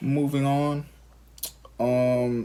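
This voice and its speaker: This is a man talking. He has an American accent. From Alabama, US South. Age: 20s. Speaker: parenting vlogger. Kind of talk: casual chat.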